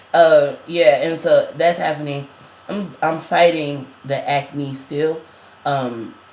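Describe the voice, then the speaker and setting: Noticeable background noise is present. A man speaks at a fairly slow pace with fairly even intonation. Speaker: vlogger. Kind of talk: casual chat.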